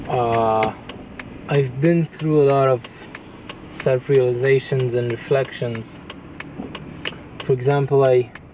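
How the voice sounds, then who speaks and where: The speaker goes at a very slow pace with fairly even intonation over noticeable background noise. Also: man. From Iran. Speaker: delivery driver and vlogger. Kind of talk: casual monologue vlog. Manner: halting, many fillers.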